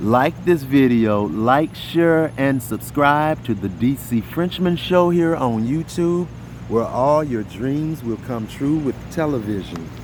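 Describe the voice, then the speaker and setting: Over noticeable background noise, a man talks very slowly. His pitch is medium and his intonation lively. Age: 50s. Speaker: YouTube commentator. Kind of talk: casual vlog commentary. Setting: outdoors at night. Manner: unscripted, repetitive.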